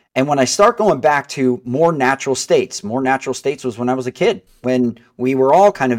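A man talks at medium pitch in an ordinary speaking voice with ordinary pitch variation. The recording is very clean and dry, with a silent background and no echo. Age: 40s. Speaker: mortgage broker. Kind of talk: casual chat.

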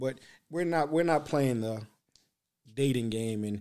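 A man speaks in an animated tone at a fairly slow pace. His pitch variation is ordinary. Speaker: podcast host. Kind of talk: casual interview chat. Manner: animated, joking.

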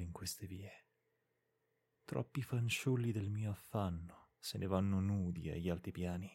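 A man's somewhat breathy, dark, mellow voice, fairly low in pitch, solemn in tone, with fairly even intonation. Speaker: podcast reader of literary classics. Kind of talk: audiobook-style literary reading aloud, solemn and lyrical. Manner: slow, measured, solemn and expressive, with a melancholic tone; formal, poetic cadence with deliberate pauses.

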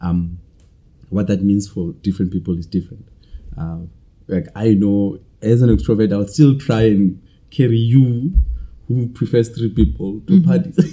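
The speaker has a dark, mellow tone, sounds somewhat breathy, and talks at a moderate pace with lively intonation and long, frequent pauses. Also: man, fairly low pitch for a man. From South Africa (Bloemfontein). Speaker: MBA student. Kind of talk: casual chat.

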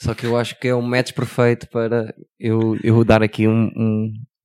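Recorded very cleanly against a silent background, a man with a European Portuguese accent talks at a moderate pace and medium pitch, with a dry, close sound and no echo. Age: 40s. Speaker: podcast co-host. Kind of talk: casual chat.

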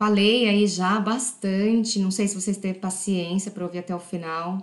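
Speaking fairly slowly, a woman keeps a medium pitch that varies in an ordinary way. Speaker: podcast host. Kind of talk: casual monologue. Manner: unscripted, conversational.

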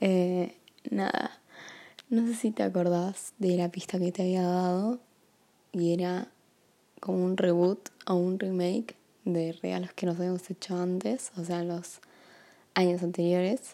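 Speaking in a Rioplatense accent, a woman has a medium pitch and a dark, mellow tone. She goes at a fairly slow pace with long, frequent pauses and fairly even intonation. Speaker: partner making a gift podcast. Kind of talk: personal recorded message. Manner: casual, hesitant with fillers.

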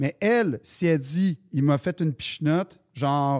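In a very clean recording with a silent background and a dry, close sound with no echo, a man with a fairly high pitch speaks with a Quebec accent. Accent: Québécois French. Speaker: comedian. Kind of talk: casual chat.

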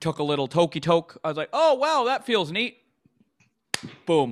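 A man with a Canadian accent speaks with lively intonation at a fairly high pitch. The recording is very clean, with a silent background and a dry, close sound with no echo. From Canada, Vancouver. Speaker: stand-up comedian. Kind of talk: casual interview chat.

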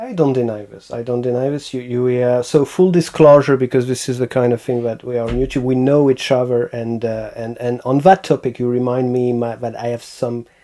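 Against noticeable background noise, a man with a French accent speaks at a medium pitch and a fairly quick pace, with fairly even intonation and hardly any pauses. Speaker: podcast host and sound tutorial maker. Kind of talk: casual interview chat.

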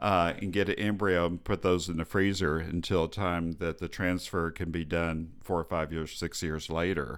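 A man's very deep, low voice with an American accent, moderate pace, flat monotone intonation and hardly any pauses, on a very clean recording with a silent background. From Texas. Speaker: fertility specialist doctor. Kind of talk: interview. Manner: halting.

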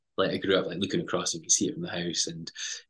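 This man has a Highland Scottish accent and a bright, sharp tone. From Scottish Highlands (Lochalsh). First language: Scottish Gaelic. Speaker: TV presenter and climber. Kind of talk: casual interview chat.

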